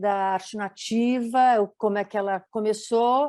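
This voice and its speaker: Against a quiet background, a woman talks in an ordinary speaking voice, fairly high in pitch, at a fairly slow pace with fairly even intonation. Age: 60s. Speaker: designer and documentary maker. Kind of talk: panel talk, live stream presentation.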